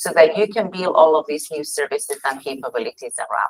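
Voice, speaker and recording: A woman with a strong Catalan accent speaks at a fairly low pitch. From Spain (Catalonia). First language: Spanish. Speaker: tech company executive. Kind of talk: conference presentation. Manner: fast.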